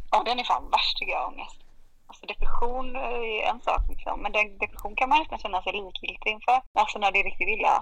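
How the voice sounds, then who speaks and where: Speaking at a fairly quick pace, a woman lets her loudness swing widely from moment to moment. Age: 30s. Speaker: podcast guest sharing depression story. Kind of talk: casual chat. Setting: remote recording. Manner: animated. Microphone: poor sound at times.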